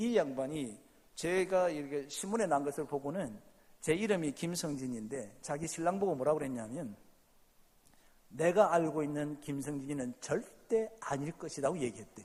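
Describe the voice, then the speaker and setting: This man speaks at a fairly high pitch with a slight Gyeongsang accent. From South Gyeongsang, Korea. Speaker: pastor. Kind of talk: sermon. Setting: church. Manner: animated.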